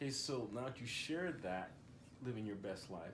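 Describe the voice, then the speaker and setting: At a moderate pace, a man with a medium pitch speaks in a somewhat breathy voice with lively intonation. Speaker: channel host, interviewer. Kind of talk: casual interview questions to camera.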